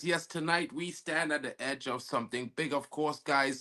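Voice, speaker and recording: In a Trinidadian accent, a man speaks at a fairly high pitch and a moderate pace, with a bright, sharp tone and ordinary pitch variation. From Trinidad and Tobago. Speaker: football talk show host. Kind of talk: live-stream sports talk. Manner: casual, conversational.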